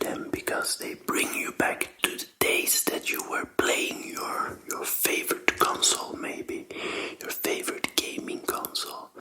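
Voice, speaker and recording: A gentle-toned whisper comes through clearly audible background noise. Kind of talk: ASMR whispered talk about game controllers. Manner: gentle, soft, whispered.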